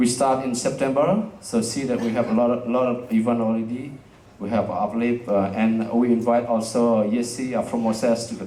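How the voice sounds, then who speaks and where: A medium-pitched man speaks with a non-native accent in a flat monotone. Audible room echo is present. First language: Indonesian. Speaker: jazz festival director and community space founder. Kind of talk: presentation to live audience. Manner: halting, many fillers.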